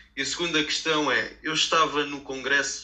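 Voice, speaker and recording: Amid noticeable background noise, a man talks fairly slowly in a fairly high pitch with monotone, flat intonation. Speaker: local politician and podcast panelist. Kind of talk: interview.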